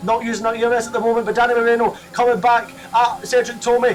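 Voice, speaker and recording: Over noticeable background noise, a man talks in an extremely high pitch. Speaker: sim racing YouTuber. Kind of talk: race commentary over gameplay. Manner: animated; fast.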